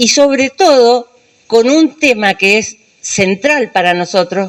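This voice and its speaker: A woman speaks very slowly, her intonation lively. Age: 70s. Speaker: human rights activist, dictatorship survivor. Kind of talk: speech at a public event.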